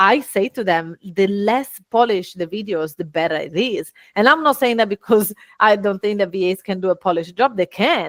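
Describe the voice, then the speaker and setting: With an Italian accent, a woman at a medium pitch speaks at a moderate pace in an animated tone with lively intonation, the sound dry and close with no echo. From Italy. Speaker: business owner and speaker. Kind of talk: podcast interview.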